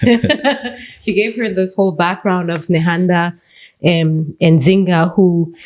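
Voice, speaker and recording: A woman's fairly low voice in a Central American accent, fairly slow, with fairly even intonation and long, frequent pauses. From Belize. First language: Garifuna. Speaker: teacher and mother. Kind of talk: interview. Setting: studio.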